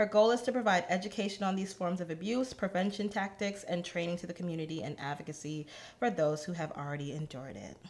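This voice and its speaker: A woman's fairly low voice at a very fast pace with hardly any pauses, big swings in loudness and ordinary pitch variation. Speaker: podcast co-host. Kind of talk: casual chat.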